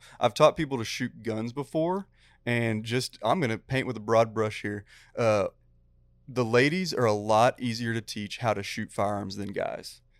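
A man with a plain, everyday voice talks at a moderate pace, medium in pitch with ordinary variation. The recording is very clean with a silent background and a dry, close sound with no echo. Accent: American. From Texas. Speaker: fly fishing guide and teacher. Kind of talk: casual chat.

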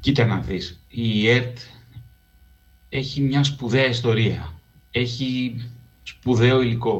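In a room with audible echo, a man speaks very slowly at a medium pitch, somewhat breathy, with fairly even intonation and long, frequent pauses. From Greece, Piraeus. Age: 50s. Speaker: radio documentary producer and researcher. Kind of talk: interview conversation.

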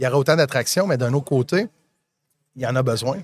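A man with an unremarkable speaking voice and a fairly high pitch is heard with a dry, close sound and no echo. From Magdalen Islands, Quebec. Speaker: podcast host. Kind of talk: live interview. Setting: live event booth.

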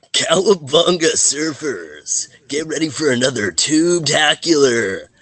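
A man's put-on character voice, fairly high-pitched and at a fairly slow pace. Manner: laid-back, playful.

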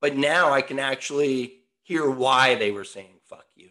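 A man's voice sits at a medium pitch with a bright, sharp tone. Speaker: podcast co-host, former competitive surfer. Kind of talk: casual chat. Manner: rambling, repetitive.

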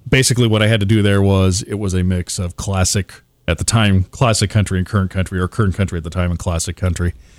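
On a very clean recording with a silent background, someone with a Midwestern US accent talks at a fairly quick pace with fairly even intonation. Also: man. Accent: US Midwest. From Nebraska. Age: 40s. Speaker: radio DJ. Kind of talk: casual chat.

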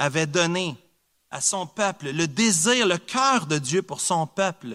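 On a very clean recording with a silent background, a man with a high, bright, sharp voice speaks very slowly with lively intonation. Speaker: preacher. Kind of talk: sermon. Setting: church. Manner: earnest, emphatic preaching with repetition for emphasis.

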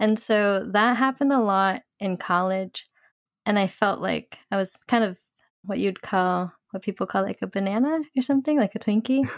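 In a normal speaking voice, a woman talks at a medium pitch and moderate pace with ordinary pitch variation, in a dry, close sound with no echo on a very clean recording with a silent background. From California. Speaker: former English teacher and career coach. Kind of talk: casual chat.

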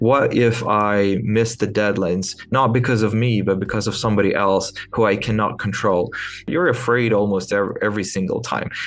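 Speaking at a fairly quick pace with a Ukrainian accent, a man keeps his intonation fairly even and his loudness very even, with audible room echo around him. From Ukraine. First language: Ukrainian or Russian. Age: 20s. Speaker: entrepreneur. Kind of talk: interview. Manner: hesitant with fillers.

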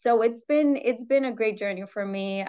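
A woman with an unremarkable speaking voice talks at a fairly slow pace, her pitch varying in an ordinary way. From New York City. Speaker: footwear product development executive. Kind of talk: interview. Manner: many fillers.

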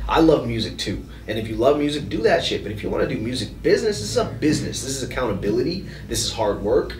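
Someone with an American accent talks at a very fast pace, with noticeable background noise and audible echo in the room. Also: man. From US Midwest, south Minneapolis. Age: 30s. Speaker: podcast guest. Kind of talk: casual chat.

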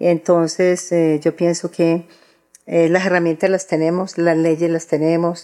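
A woman speaks at a moderate pace. Her voice is fairly low-pitched with a dark, mellow tone. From Colombia, Antioquia. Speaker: historian and feminist activist. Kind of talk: interview. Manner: halting, repeats words.

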